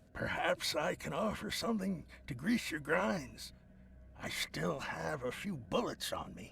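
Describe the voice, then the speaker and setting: A man's put-on character voice at a fairly slow pace, over clear background noise. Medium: video game.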